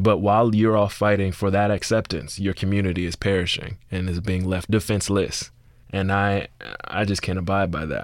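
A man with an American accent speaks at a moderate pace in a fairly low, monotone, flat voice, captured in a very clean recording with a silent background. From US South, Miami (Liberty City). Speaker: playwright and screenwriter. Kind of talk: interview conversation.

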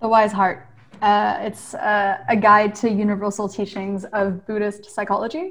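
At a moderate pace, a woman talks in a medium pitch with an American accent. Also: fairly even intonation. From US, Maryland. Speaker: clean energy startup co-founder. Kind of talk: interview. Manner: hesitant, many fillers.

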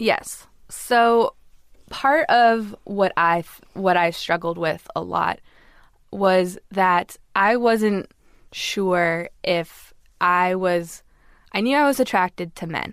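A woman with an American accent, very slow pace and ordinary pitch variation. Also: medium pitch for a woman, very clean recording, silent background. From Los Angeles, US.

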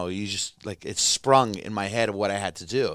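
The recording is very clean, with a silent background. A man speaks at a fairly quick pace with ordinary pitch variation. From Toronto, Canada. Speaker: comedian. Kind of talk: casual chat. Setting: studio.

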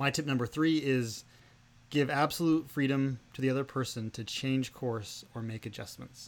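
On a very clean recording with a silent background, a man with an ordinary speaking voice talks at a moderate pace, medium pitch and fairly even intonation. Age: 30s. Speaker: podcast host's husband. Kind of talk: casual chat.

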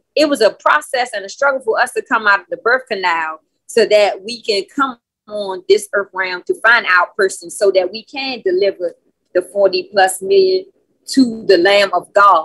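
With a plain, everyday voice, a woman speaks at a moderate pace with lively intonation, the sound dry and close with no echo. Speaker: call participant. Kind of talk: testimony. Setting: video call.

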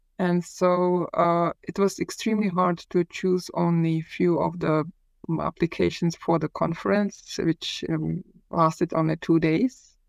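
A woman with a Czech accent, fairly low in pitch, at a fairly slow pace and with fairly even intonation, in a dry, close sound with no echo. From Czech Republic, Prague. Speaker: historian. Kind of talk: interview. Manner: halting.

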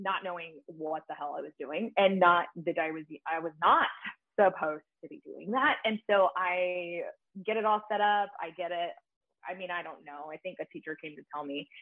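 A woman with an American accent speaks at a moderate pace with ordinary pitch variation. Her loudness swings widely. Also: medium pitch for a woman. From Texas, Grand Prairie. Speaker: barber educator. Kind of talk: casual interview.

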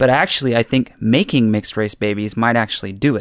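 In an American accent, an unremarkable speaking voice moves at a fairly quick pace with ordinary pitch variation, on a very clean recording with a silent background. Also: man. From Central California. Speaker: listener giving feedback. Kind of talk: recorded voice memo.

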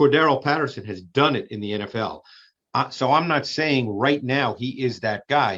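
A man talks in an ordinary speaking voice at a medium pitch. His pace is moderate and his pitch variation ordinary. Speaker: football film analyst. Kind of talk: podcast clip analysis.

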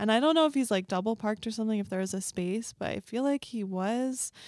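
A woman's fairly high voice with ordinary pitch variation, on a very clean recording with a silent background. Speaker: comedian. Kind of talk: casual chat.

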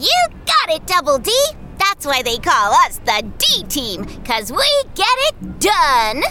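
A woman puts on a bubbly character voice at a high pitch. She goes at a fairly slow pace, with clear background noise. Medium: audio drama.

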